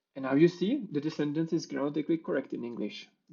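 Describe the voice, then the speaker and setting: This man speaks with a Czech accent. His voice sits fairly high, with ordinary pitch variation. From Czech Republic. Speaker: software developer. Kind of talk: conference talk with live coding demo.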